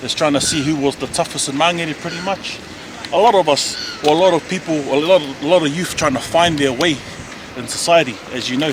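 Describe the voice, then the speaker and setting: Over noticeable background noise, a man with a New Zealand accent speaks fairly quickly in a fairly high pitch, with ordinary pitch variation. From South Auckland, New Zealand. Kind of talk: casual neighbourhood tour talk.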